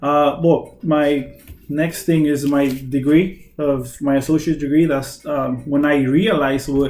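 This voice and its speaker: A man speaks very slowly with a Spanish accent. His pitch is fairly high and his intonation fairly even. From Mexicali, Mexico. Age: 20s. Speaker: nurse. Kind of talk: self-introduction video. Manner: halting, many fillers.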